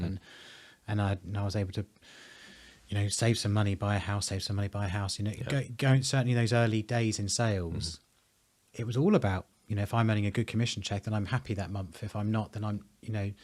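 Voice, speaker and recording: A man speaks at a very fast pace in a fairly low, somewhat breathy voice. His intonation stays fairly even, and the recording is very clean with a silent background. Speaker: presenter. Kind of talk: interview conversation.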